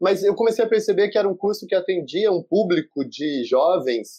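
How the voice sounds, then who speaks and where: A man's high-pitched voice with a dark, mellow tone, ordinary pitch variation and a moderate pace. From interior of São Paulo state, Brazil. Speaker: researcher and audiovisual educator. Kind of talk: video conference panel discussion. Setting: video call.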